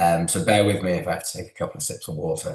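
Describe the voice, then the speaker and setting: This man's voice is somewhat breathy. He talks with a British accent. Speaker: physiotherapist. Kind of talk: interview.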